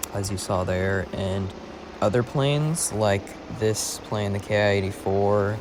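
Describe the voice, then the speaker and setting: Speech at a fairly slow pace comes through audible room echo and noticeable background noise. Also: man, fairly low pitch for a man. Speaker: gaming video creator. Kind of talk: gameplay commentary. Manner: monotone; halting.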